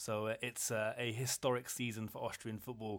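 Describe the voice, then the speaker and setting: Medium-pitched speech from a man with an English accent, in a very clean recording with a silent background. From England. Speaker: football podcast co-host. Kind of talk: casual chat. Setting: hotel room.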